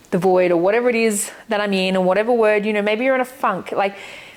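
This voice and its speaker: A woman speaks with ordinary pitch variation. Noticeable background noise is heard. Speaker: lifestyle vlogger. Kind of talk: casual monologue.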